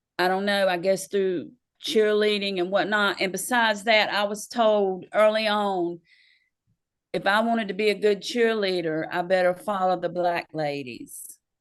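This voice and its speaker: A woman with a Southern US accent at a moderate pace, medium in pitch with ordinary pitch variation, against a quiet background. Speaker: local party chair. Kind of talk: interview. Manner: halting.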